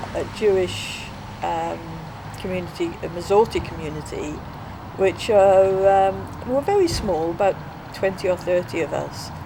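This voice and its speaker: A woman speaks at a fairly slow pace, with long, frequent pauses and big swings in loudness. Noticeable background noise runs under her voice. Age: 60s. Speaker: interviewee. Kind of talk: interview.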